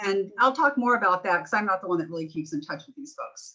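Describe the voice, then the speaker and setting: A woman's normal speaking voice, medium in pitch with ordinary pitch variation. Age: 60s. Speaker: real estate agent. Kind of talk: webinar interview.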